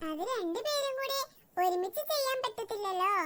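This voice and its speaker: A cartoonish character voice, extremely high-pitched and squeaky, delivered at a moderate pace. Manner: polite, deferential.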